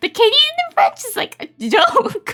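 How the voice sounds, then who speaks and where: A woman with an extremely high pitch speaks in a raised, projected voice and an animated tone, with very wide pitch swings. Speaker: VTuber streamer. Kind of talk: casual livestream chat.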